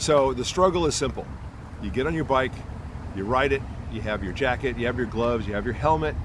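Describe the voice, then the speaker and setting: Man at a medium pitch with lively intonation, very fast pace broken by long, frequent pauses, audible room echo and noticeable background noise. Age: 60s. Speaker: cycling podcast host. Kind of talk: casual monologue. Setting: outdoors in a park.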